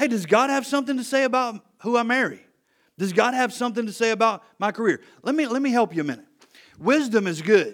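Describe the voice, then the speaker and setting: On a very clean recording with a silent background, a man talks very fast at an extremely high pitch. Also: ordinary pitch variation. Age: 50s. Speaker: pastor of a church plant. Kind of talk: Sunday sermon, folksy conversational preaching with direct questions to the congregation. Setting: church service with congregation. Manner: casual, relaxed and chatty, peppered with hey and you know; earnest and persuasive, building with rhetorical questions.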